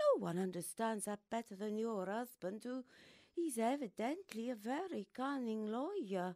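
Putting on a raspy character voice, a woman speaks at a fairly high pitch and moderate pace with lively intonation, in a very clean, dry, close recording with no echo and a silent background. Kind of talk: radio stage play acting. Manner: poised, worldly, gently condescending.

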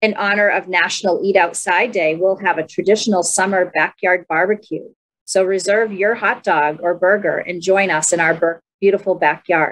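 The speaker goes at a moderate pace with hardly any pauses. The intonation stays fairly even. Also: woman. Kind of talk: program announcements. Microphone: webcam.

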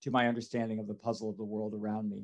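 In an American accent, a man talks with only quiet behind him. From rural New York State. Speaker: professor, plant taxonomist; professor. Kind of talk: recorded talk for students. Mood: warm, enthusiastic. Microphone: headset.

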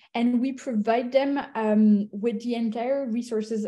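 Over a quiet background, a woman with a fairly high pitch and a dark, mellow tone speaks at a moderate pace with fairly even intonation. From Belgium / Italy; Belgium. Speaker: venture capital investor; guest. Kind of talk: interview. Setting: video call. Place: home room. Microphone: video call.

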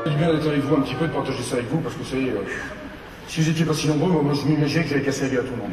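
There is loud background noise and audible room echo as a man talks at a fairly high pitch. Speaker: comedian. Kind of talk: humorous corporate keynote. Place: hall.

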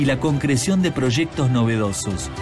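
A man with lively intonation at a moderate pace, music in the background. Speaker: voice actor. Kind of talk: promotional event narration.

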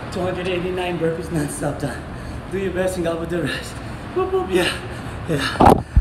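Against loud background noise, a man speaks at a very slow pace with long, frequent pauses. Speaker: fitness vlogger. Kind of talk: casual vlog chat. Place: garage. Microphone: phone near.

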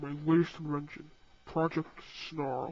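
Using a put-on character voice, the speaker holds a middle pitch at a moderate pace. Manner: apologetic then self-satisfied.

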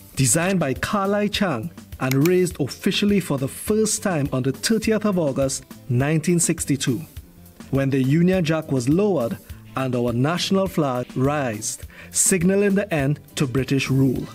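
With music in the background, a man with fairly high pitch speaks at a moderate pace, his intonation lively and his loudness very even. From Trinidad and Tobago. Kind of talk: educational narration.

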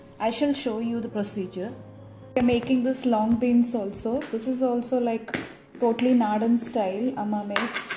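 With music in the background, a woman speaks at a moderate pace in a monotone, flat tone. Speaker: home cook vlogger. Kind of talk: casual vlog narration. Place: kitchen. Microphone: phone near.

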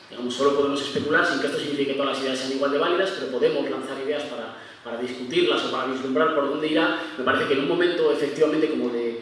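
A man's voice carries strong room echo over light background noise. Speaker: conference panelist. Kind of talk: lecture. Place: stage.

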